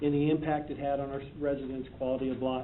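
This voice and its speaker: With audible room echo around him, a man speaks very fast in a fairly high, monotone voice with flat intonation. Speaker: police chief. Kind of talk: prepared presentation to council. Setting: city council meeting.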